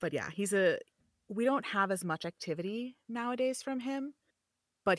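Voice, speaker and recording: At a moderate pace, a woman speaks with lively intonation in an ordinary speaking voice, recorded dry and close with no echo. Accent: American. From US Midwest, Chicago. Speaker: voiceover artist and streamer. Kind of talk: casual chat. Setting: home studio, remote call.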